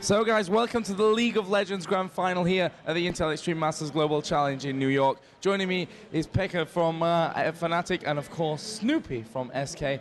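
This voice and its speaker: Amid noticeable background noise, a man with a high voice speaks at a moderate pace. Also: ordinary pitch variation. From England. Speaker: stage host interviewer. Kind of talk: on-stage interview. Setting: stage at convention event.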